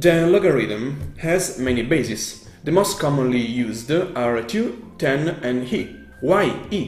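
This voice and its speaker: A man with an Italian accent at a very slow pace, lively intonation, audible room echo and faint music in the background. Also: fairly high pitch for a man, hardly any pauses. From Italy. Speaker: math YouTuber. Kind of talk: math tutorial. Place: home room.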